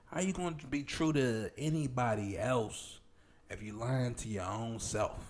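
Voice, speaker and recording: With an American accent, a man in an unremarkable speaking voice talks at a medium pitch with lively intonation. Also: fairly slow pace. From Pittsburgh, Pennsylvania. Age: 30s. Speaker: podcast co-host. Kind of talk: casual chat.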